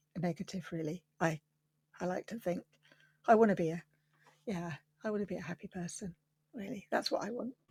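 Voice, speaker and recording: A woman's somewhat breathy, medium-pitched voice in a southern English accent, fairly quick yet broken by long, frequent pauses, with ordinary pitch variation and a dry, close sound free of echo. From London. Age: 60s. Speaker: quilter. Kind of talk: interview.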